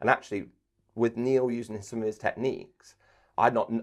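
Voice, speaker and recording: A man with an English accent talks at a very fast pace over a quiet background. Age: 40s. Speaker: sports commentator and trainer. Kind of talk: interview. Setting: podcast recording. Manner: animated.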